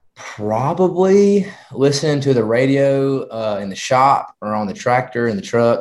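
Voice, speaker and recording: A man with a rural Southern US accent, medium pitch, lively intonation and a fairly slow pace. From rural Georgia. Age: young. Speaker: country singer-songwriter. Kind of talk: interview.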